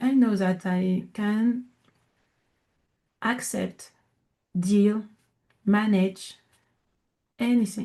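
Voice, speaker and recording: A woman with a French accent speaks at a very slow pace, her tone dark, mellow and somewhat breathy. Her intonation is fairly even, broken by long, frequent pauses. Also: medium pitch for a woman. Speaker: coach and entrepreneur. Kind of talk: interview. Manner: deliberately slowed in English; halting.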